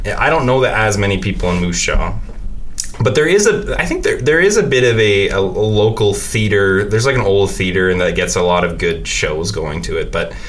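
Speaking at a moderate pace, a man talks in a western Canadian accent. The recording has noticeable background noise and audible room echo. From Saskatoon, Saskatchewan, Canada. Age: 20s. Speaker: podcaster. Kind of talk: casual chat. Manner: halting.

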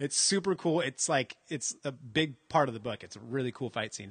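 Animated and lively in intonation, a man with a fairly high voice talks at a fairly quick pace with hardly any pauses and big swings in loudness, in a dry, close sound with no echo. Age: 40s. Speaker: comic book fan, shop owner. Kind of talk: casual chat. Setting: shop near highway.

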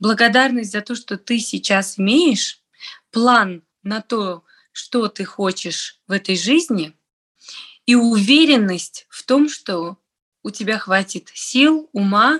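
A woman speaks very slowly in a fairly high voice with lively intonation. The sound is dry and close, with no echo. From Tajikistan, Dushanbe. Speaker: entrepreneur. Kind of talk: casual interview chat.

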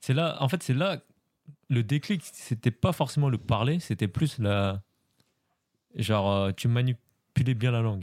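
With a very clean, silent background and a dry, close sound free of echo, a man talks at a very slow pace and medium pitch, his loudness very even, his intonation lively, and his long pauses frequent. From France. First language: Khmer (speaking French). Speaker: polyglot guest. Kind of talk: casual chat.

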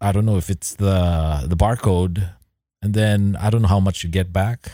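On a very clean recording with a silent background, a man speaks at a moderate pace. His tone is dark and mellow, his pitch fairly low, with ordinary pitch variation. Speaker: podcast co-host. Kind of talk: casual chat.

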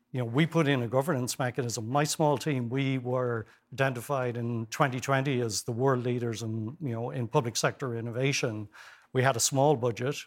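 With an Irish accent, a man talks at a fairly quick pace and medium pitch, recorded very cleanly against a silent background. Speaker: former health service executive and professor. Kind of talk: TV interview. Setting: studio. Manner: animated.

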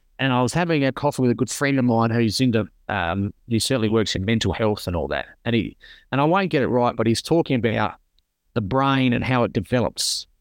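The man's voice sits at a medium pitch, with lively intonation. His loudness stays very even against a quiet background. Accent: Australian. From South Australia (rural). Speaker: burns survivor and charity founder. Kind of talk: interview. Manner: halting.

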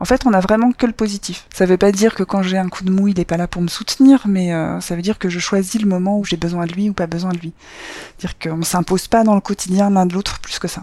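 Speaking very fast, a woman has a dark, mellow tone at medium pitch, her intonation fairly even. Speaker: storyteller sharing her love life. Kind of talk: personal testimony.

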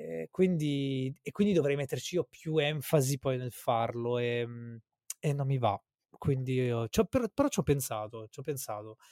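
Speaking at a fairly slow pace, a medium-pitched man uses lively intonation in a dry, close sound with no echo. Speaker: podcaster. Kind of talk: casual chat between friends.

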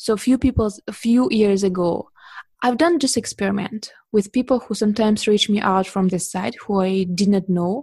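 A woman with a Russian accent, medium pitch, and a somewhat breathy, dark, mellow tone. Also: ordinary pitch variation, moderate pace, quiet background. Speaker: portrait photographer. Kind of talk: interview.

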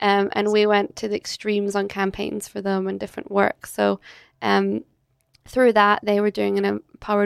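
With a Scottish accent, the speaker moves at a fairly quick pace, and the sound is dry and close with no echo. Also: woman. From Scotland, Edinburgh. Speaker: entrepreneur, agency director. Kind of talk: interview conversation. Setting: hotel.

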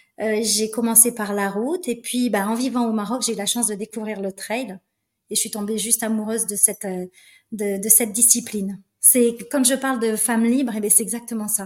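Somewhat breathy and fairly high-pitched, a woman talks at a moderate pace with fairly even intonation. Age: 50s. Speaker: flight attendant and trail runner. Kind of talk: interview conversation.

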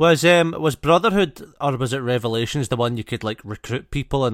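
An unremarkable speaking voice moves at a fairly quick pace with ordinary pitch variation, on a very clean recording with a silent background. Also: man. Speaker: podcast host. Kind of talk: casual banter chat. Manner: joking, swearing, playful.

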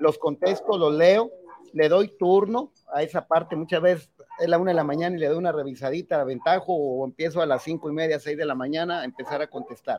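Dry and close with no echo, a man's high voice moves at a fairly quick pace with ordinary pitch variation. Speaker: municipal president. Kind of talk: interview.

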